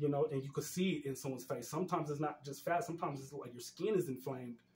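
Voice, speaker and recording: A man with an American accent speaks at a very fast pace in a somewhat breathy, fairly high voice, with ordinary pitch variation and big swings in loudness. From Denver, Colorado, US. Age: 40s. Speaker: community activist. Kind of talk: interview conversation.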